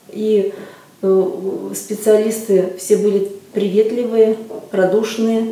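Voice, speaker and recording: In a room with audible echo, a woman speaks very slowly at a fairly high pitch with monotone, flat intonation. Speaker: customer giving a testimonial. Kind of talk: customer testimonial. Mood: calm, pleased. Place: office.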